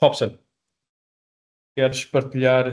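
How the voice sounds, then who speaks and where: Speaking with a European Portuguese accent, a man goes at a fairly slow pace. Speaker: software company representative. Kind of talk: webinar sales presentation. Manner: halting, many repetitions and fillers.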